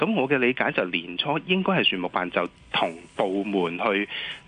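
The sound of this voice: This voice has a slightly husky edge and big pitch swings. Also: man.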